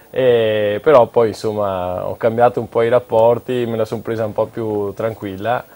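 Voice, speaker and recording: Hardly pausing, a man with a dark, mellow tone speaks at a medium pitch and moderate pace in monotone, flat intonation. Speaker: triathlete. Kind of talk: casual TV talk show. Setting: TV studio.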